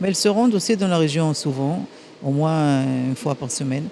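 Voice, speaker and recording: Amid noticeable background noise, a woman speaks with ordinary pitch variation. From Transylvania, Romania, raised in Israel. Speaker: ambassador. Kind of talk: interview. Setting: gala dinner. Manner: halting.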